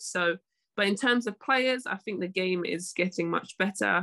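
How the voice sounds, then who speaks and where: Speaking in a London accent, a woman has a bright, sharp tone. Her pace is fairly slow over a quiet background. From London, England. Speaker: professional basketball player; guest. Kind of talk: podcast interview. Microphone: video call.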